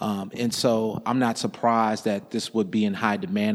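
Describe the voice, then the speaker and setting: A man speaks with an American accent at a fairly low pitch. He keeps a moderate pace and fairly even intonation. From Indiana, US Midwest. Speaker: museum education director. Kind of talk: casual interview about art. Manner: hesitant, many fillers.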